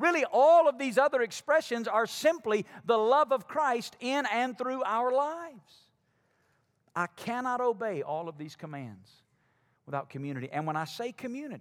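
A man's high voice in an Alabama accent, at a moderate pace with very wide pitch swings, in a very clean recording with a silent background. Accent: Alabama Southern. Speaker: pastor. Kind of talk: sermon. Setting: church.

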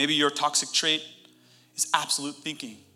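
A fairly quick pace and animated tone, with music in the background. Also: man. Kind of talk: sermon. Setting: church with live audience. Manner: animated, loud, fervent preacher in full flow, urgent and rousing.

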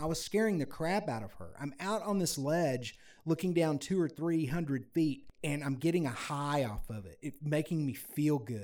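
A man speaks at a moderate pace with a fairly high pitch and lively intonation. His is an unremarkable speaking voice. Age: 50s. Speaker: musician and adventure video creator. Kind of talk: casual chat.

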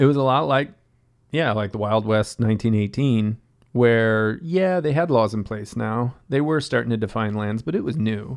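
Against a quiet background, a man speaks at a moderate pace and a medium pitch with lively intonation. It is an unremarkable speaking voice. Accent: American. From western Massachusetts, US. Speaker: hostel owner and sustainability NGO founder. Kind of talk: casual chat.

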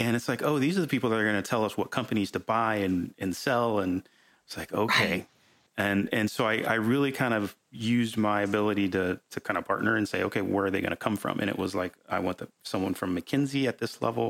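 A fairly low-pitched man's voice at a very fast pace, with ordinary pitch variation. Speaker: podcast host. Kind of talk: casual chat. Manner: informal, filler words, repeats words.

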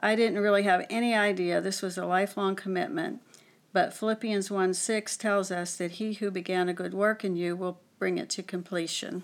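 A woman with an American accent speaks in an ordinary speaking voice at medium pitch. Her pace is moderate and her intonation fairly even. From western Pennsylvania. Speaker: church marriage mentor. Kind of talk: testimony.

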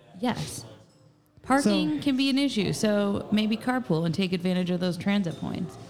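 Speaking in an American accent at a moderate pace, a woman with a medium-pitched voice makes very wide pitch swings amid audible room echo. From Southern Indiana, Jasper. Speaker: assistant producer and co-host. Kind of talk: casual chat. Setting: live recording in a tap room.

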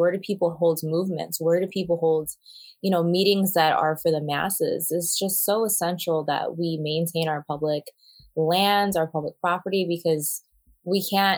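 At a moderate pace, a woman with fairly low pitch speaks in a monotone, flat intonation. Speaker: podcast co-host discussing news. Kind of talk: casual news discussion.

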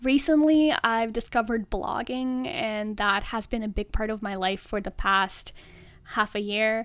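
With lively intonation, a woman talks at a fairly slow pace in a very clean recording over a silent background. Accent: Russian. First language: Russian. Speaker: podcast host, journalism student. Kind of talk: solo podcast monologue.

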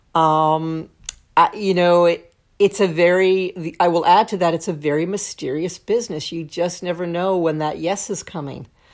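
In a plain, everyday voice with an American accent, a woman speaks at a moderate pace and a fairly low pitch with fairly even intonation, on a very clean recording with a silent background. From Brooklyn, New York. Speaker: songwriter and lyric writing teacher. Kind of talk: casual chat.

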